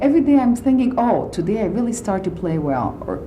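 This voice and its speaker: With audible room echo and noticeable background noise, a woman talks at a very fast pace in a fairly high voice that swings very widely in pitch. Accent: non-native. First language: not English. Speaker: concert pianist. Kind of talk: radio interview. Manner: halting, with many fillers.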